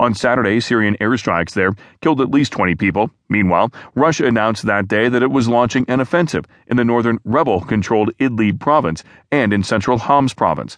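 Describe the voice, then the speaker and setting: In a plain, everyday voice, a man speaks at a fairly quick pace with medium pitch and ordinary pitch variation, recorded dry and close with no echo against a quiet background. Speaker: audiobook news narrator. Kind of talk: formal news reading. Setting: studio. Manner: formal, even, measured newsreader delivery; steady, neutral, unemotional pacing.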